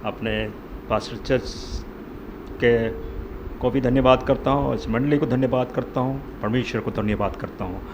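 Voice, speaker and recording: Soft-spoken and at medium pitch, a man talks with fairly even intonation through noticeable background noise and audible room echo. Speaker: lay preacher. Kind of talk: sermon. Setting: church.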